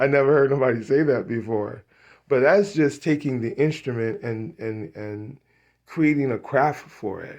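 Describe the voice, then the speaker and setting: Against a quiet background, a man talks at a moderate pace and medium pitch, with ordinary pitch variation and big swings in loudness. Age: 60s. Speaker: musician and studio owner. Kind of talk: casual vlog monologue. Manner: halting, many fillers and repetitions.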